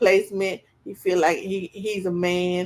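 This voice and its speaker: The voice belongs to a woman and sits at a medium pitch. She talks fairly slowly. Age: 40s. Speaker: podcast co-host. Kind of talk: casual group discussion. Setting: live stream. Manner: animated.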